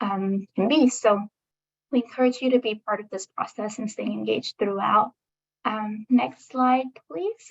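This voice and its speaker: A woman speaks at a fairly slow pace and fairly high pitch, somewhat breathy. The sound is dry and close, with no echo. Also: ordinary pitch variation, big swings in loudness. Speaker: state government meeting facilitator. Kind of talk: online public meeting presentation. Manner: frequent um fillers.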